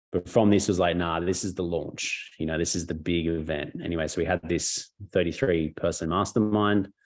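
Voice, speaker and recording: A man with a very deep, low voice, an Australian accent and hardly any pauses. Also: fairly even intonation. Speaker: network marketing mentor. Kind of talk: webinar interview storytelling. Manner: fast; casual, halting with fillers.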